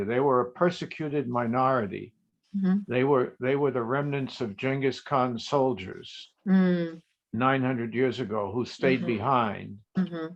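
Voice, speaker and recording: In an ordinary speaking voice, a man speaks at a medium pitch with ordinary pitch variation. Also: moderate pace. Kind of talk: casual group call talk.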